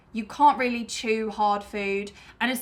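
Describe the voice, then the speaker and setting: Pitched fairly high, a woman talks in a British accent. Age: 20s. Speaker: YouTuber. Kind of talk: casual chat.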